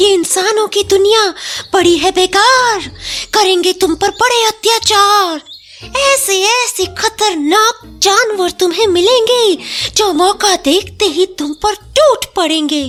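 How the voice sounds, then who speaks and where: In a put-on character voice, a female-sounding speaker talks at a very slow pace and an extremely high pitch while music plays in the background. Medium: read story. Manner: rhyming, sing-song.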